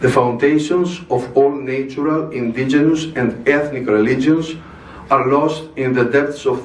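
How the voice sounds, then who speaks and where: A man with a Greek accent speaks at a fairly slow pace, his pitch fairly high and intonation fairly even. Audible room echo and noticeable background noise surround him. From Greece. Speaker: religious speaker. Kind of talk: formal speech. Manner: formal.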